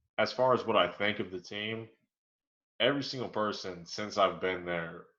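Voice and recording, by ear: In a room with audible echo, a man speaks at a fairly low pitch with a bright, sharp tone and fairly even intonation. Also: moderate pace.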